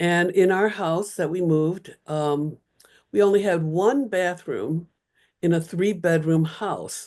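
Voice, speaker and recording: Over a quiet background, a woman with an American accent speaks very slowly in a fairly low pitch, with ordinary pitch variation. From Chicago, US Midwest. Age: 70s. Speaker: retired Bible scholar, professor. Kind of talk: oral history interview. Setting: video call from home.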